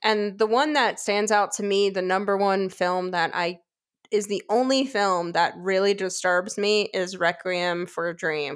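A woman's medium-pitched voice with ordinary pitch variation, a fairly slow pace, and a very clean recording over a silent background. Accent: New York. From New York. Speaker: podcast co-host. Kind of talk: casual chat about films.

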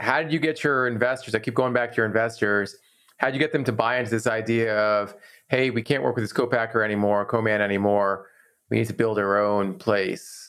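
At a fairly quick pace, a man talks in a normal speaking voice with medium pitch and ordinary pitch variation. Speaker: podcast host. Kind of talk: interview.

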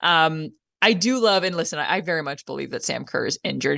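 In a Canadian accent, a woman talks at a fairly quick pace with an animated, bright, sharp tone and lively intonation, recorded with a dry, close sound with no echo against a quiet background. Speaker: sports radio co-host. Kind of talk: radio sports talk show.

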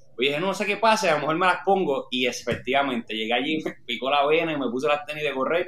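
This man talks at a very fast pace with lively intonation. His voice is fairly high in pitch, with a bright, sharp tone. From Puerto Rico (Orocovis). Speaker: marathon runner. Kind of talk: interview.

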